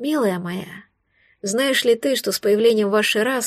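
Quiet background, a natural reading voice and ordinary pitch variation

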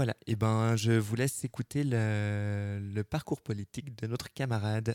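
With a slightly mellow tone, a man speaks at a fairly low pitch and a moderate pace. His intonation stays fairly even, and the sound is dry and close with no echo.

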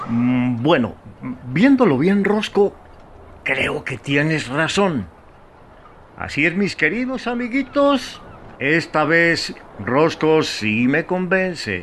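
A man's put-on character voice, pitched fairly high, with big swings in pitch. He speaks slowly, and his tone is fairly bright.

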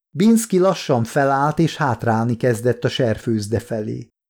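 The intonation rises and falls in a lively way. Someone reads aloud in a natural voice.

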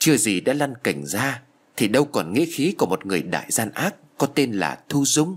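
You hear a natural reading voice.

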